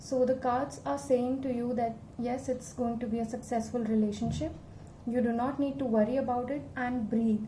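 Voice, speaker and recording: Over noticeable background noise, a woman with a high pitch and ordinary pitch variation talks at a moderate pace. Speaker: tarot reader. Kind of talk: tarot reading to camera. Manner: calm, reassuring.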